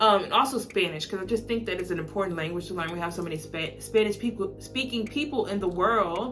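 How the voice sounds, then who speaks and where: A woman with a Southern US accent talks at a very fast pace with hardly any pauses, medium pitch and ordinary pitch variation, with audible room echo and noticeable background noise. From US South, Alabama. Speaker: lifestyle vlogger. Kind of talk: casual chat. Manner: casual, filler-heavy.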